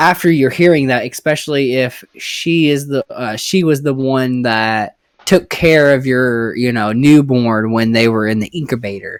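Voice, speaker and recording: With a Southern US accent, a man speaks with hardly any pauses and ordinary pitch variation. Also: medium pitch for a man, moderate pace. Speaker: podcast host. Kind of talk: casual chat.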